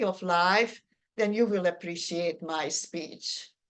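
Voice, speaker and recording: Against a quiet background, a woman speaks very slowly with a Hungarian accent. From Hungary. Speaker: public speaking presenter. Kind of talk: workshop Q&A.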